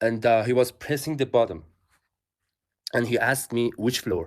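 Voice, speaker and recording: At a moderate pace, a man speaks with a Persian accent. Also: very clean recording, silent background. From Iran. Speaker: athlete, English learner. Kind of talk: casual chat. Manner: halting, many fillers.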